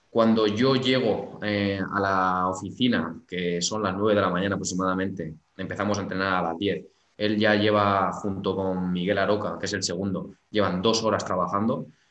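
Audible room echo surrounds a man who speaks at a moderate pace with a fairly low pitch and fairly even intonation. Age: 20s. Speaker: sports psychologist. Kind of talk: interview.

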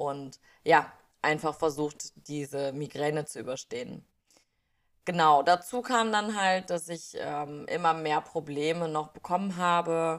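Very slowly paced speech carries ordinary pitch variation. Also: woman, very deep, low pitch for a woman. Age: 20s. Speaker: podcast host, mindfulness and wellness. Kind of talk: personal monologue. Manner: hesitant, many filler sounds.

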